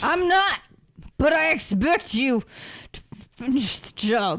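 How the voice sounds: In a put-on character voice, a woman talks at a slow pace with lively intonation. Her pitch is high and her tone fairly bright.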